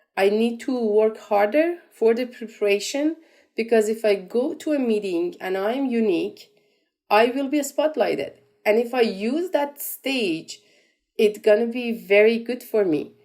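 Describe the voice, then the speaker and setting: The voice has a dark, mellow tone and a Persian accent. Delivery is fairly slow, with lively intonation. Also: woman, fairly high pitch for a woman. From Iran. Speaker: entrepreneur. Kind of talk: interview. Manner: halting, many repetitions and fillers.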